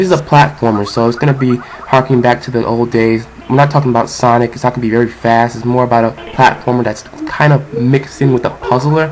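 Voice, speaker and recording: Over noticeable background noise, a man speaks at a fairly quick pace. His pitch is medium and his intonation fairly even. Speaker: game reviewer. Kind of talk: video game review narration. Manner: casual.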